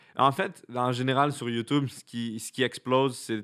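A man with a Quebec accent talks with fairly even intonation. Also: quiet background. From Quebec, Laurentides. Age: 20s. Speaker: content creator; podcast guest, content creator. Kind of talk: casual chat. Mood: relaxed, smiling. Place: studio. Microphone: studio mic.

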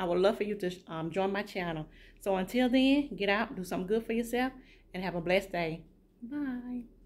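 A woman at a fairly quick pace, her pitch varying in an ordinary way. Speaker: home vlogger. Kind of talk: casual vlog chat. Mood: warm, upbeat. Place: kitchen. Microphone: phone near.

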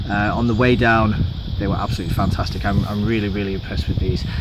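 A man speaks over loud background noise, the sound dry with no echo. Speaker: hiker reviewing gear. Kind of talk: gear review talk. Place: forest.

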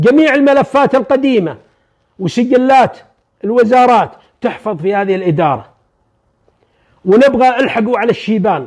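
At an extremely high pitch, a man speaks at a moderate pace with lively intonation and long, frequent pauses, against a quiet background. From Saudi Arabia. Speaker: retired army major general. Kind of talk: storytelling, oral history. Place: home room.

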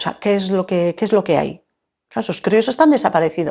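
Against a quiet background, a woman speaks with lively intonation in a dark, mellow tone. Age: 40s. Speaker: woman searching for her biological mother. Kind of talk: testimony. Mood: serious, reflective, emotional. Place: studio.

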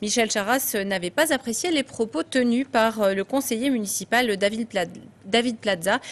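Keeping her loudness very even, a woman talks at a fairly slow pace with ordinary pitch variation. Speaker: news anchor. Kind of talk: news reading. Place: studio. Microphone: lapel.

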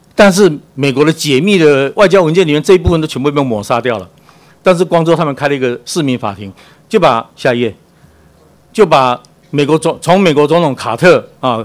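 A man talks at a fairly quick pace with lively intonation. He has an unremarkable speaking voice. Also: fairly high pitch for a man. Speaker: cultural association executive director. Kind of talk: presentation with slides.

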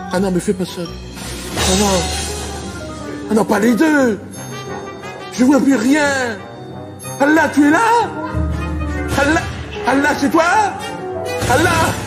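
Over clear background music, a man talks at a very slow pace with long, frequent pauses. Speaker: comedian. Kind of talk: stand-up comedy performance, acting out characters. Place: stage. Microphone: handheld.

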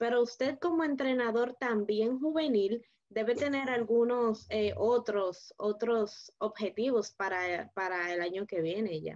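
A woman's voice with ordinary pitch variation over a quiet background. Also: fairly slow pace, hardly any pauses. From Dominican Republic. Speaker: interviewer. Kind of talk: interview. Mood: friendly, engaged. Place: home room. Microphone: video call.

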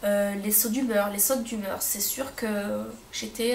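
A woman's voice with noticeable background noise. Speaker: stay-at-home mother. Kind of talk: casual talk to camera. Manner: hesitant, many fillers.

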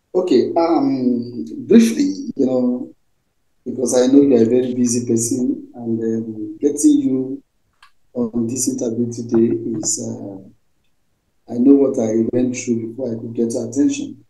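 A man speaks at a fairly slow pace with a dark, mellow tone and fairly even intonation, leaving long, frequent pauses. There is audible room echo over a quiet background. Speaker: interview host. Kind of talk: interview question. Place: home room. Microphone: video call.

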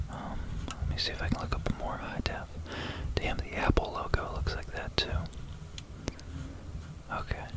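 Long, frequent pauses break up a moderate pace, with a dry sound with no echo and loud background noise. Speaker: ASMR creator explaining math. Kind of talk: ASMR whispered math talk, casual explanation to camera.

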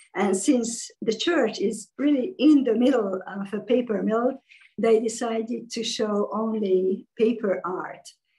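Somewhat breathy and dark, mellow in tone, a woman speaks at a fairly slow pace in a fairly high pitch with ordinary variation. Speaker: fiber artist. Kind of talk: presentation. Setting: video call. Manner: halting.

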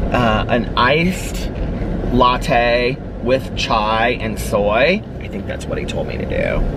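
A man speaks at a very slow pace in a dry sound with no echo, with noticeable background noise. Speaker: vlogger. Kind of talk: casual vlog chat. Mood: chatty, mildly in pain. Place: car. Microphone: camera far.

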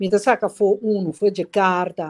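Against a quiet background, a woman with a Caribbean accent talks at a medium pitch with a dark, mellow tone and ordinary pitch variation. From Curaçao. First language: Papiamentu (speaking Portuguese). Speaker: politician; guest. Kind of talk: interview. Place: home room. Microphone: video call.

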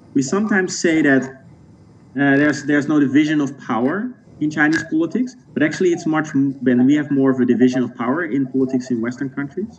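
Over light background noise, a man with a Dutch accent talks at a very fast pace with ordinary pitch variation. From Netherlands. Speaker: sociologist. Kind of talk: interview. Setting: video call. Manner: halting. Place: home room. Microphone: video call.

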